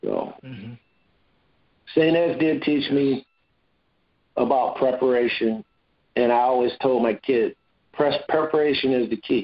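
With an Ohio accent, a man of medium pitch talks at a fairly slow pace with fairly even intonation and long, frequent pauses. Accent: Midwestern US (Ohio). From Cleveland, Ohio. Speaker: former football player. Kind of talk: interview.

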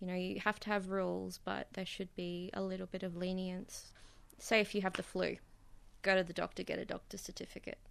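Speaking at a fairly quick pace, a woman talks with an Australian accent. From Bundaberg, Queensland, Australia. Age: 20s. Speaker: self-employed artist. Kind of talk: interview. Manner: hesitant, with fillers.

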